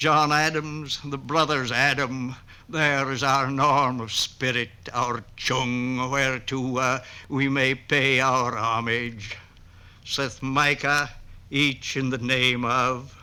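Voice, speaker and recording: A man with an American accent speaks at a very slow pace in a flat monotone. His medium-pitched voice has a bright, sharp tone. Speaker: poet. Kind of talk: poetry reading.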